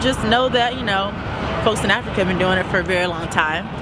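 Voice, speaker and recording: A woman at a fairly quick pace, with noticeable background noise. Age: young. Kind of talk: interview answer.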